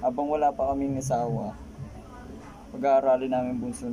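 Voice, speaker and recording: The speech goes at a moderate pace. Noticeable background noise can be heard. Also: man. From Philippines. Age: 20s. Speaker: vlogger. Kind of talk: casual vlog introduction; casual vlog chat. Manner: halting, stumbling. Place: home room. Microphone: phone near.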